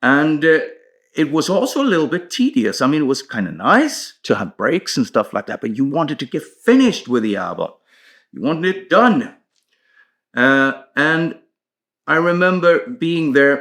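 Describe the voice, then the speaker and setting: Very wide pitch swings mark this man's fairly high voice, which carries a Swedish accent on a very clean recording with a silent background. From Sweden, Stockholm. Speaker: metal band musician. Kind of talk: casual storytelling monologue. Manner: hesitant with fillers.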